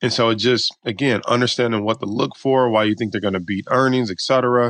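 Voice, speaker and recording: Fairly quick and fairly even in intonation, a man talks with an American accent in an ordinary speaking voice. The sound is dry and close, with no echo. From Detroit, Michigan, US. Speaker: stock market coach and options trader. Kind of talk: interview.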